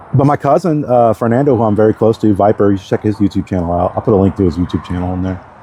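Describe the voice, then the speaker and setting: Over noticeable background noise, a man talks at a very fast pace in a fairly low pitch, the sound dry and close with no echo. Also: ordinary pitch variation. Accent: American. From Texas, Galveston. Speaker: vlogger. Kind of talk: casual monologue. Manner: rambling with many fillers.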